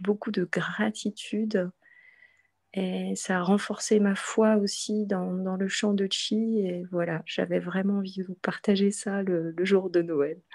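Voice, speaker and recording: A woman's medium-pitched, monotone, flat delivery at a very slow pace against a quiet background. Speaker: qigong practitioner. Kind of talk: testimony. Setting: video call. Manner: halting. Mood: moved, grateful. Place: home room. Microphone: video call.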